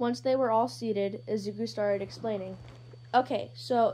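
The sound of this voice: Fairly even intonation shapes this unforced reading voice.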